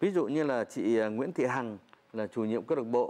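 A man's plain, everyday voice, with lively intonation at a moderate pace. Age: 40s. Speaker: folk singer; interviewee. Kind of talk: interview. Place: home room.

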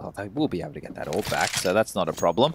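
Noticeable background noise runs behind a man who speaks very fast. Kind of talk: esports commentary. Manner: rapid-fire, play-by-play, clipped and fluent.

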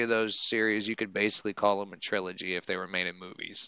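A man with a fairly low pitch and a bright, sharp tone speaks with fairly even intonation, the sound dry with no echo and the background quiet. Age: 30s. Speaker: podcast host. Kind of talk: casual chat. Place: home room. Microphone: headset.

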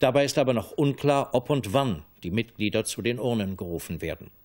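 A man talks at medium pitch with ordinary pitch variation, keeping a moderate pace. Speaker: television news anchor. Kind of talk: television news reading. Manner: formal, measured. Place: studio.

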